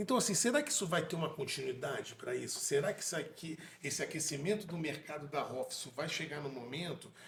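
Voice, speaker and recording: A man talks at a fairly quick pace with hardly any pauses and a fairly high pitch. Noticeable background noise runs underneath. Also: ordinary pitch variation. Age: 40s. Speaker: dentist and podcast co-host. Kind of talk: casual interview conversation.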